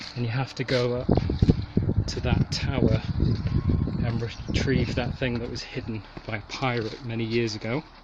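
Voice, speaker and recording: Noticeable noise fills the background while a man speaks at a medium pitch. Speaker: gaming YouTuber. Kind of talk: vlog narration while hiking. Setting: outdoors. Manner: casual, enthusiastic.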